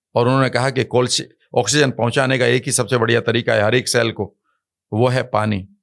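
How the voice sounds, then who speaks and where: A man speaks at a medium pitch with fairly even intonation and some vocal fry. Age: 60s. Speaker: wellness coach. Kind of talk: podcast interview. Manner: emphatic.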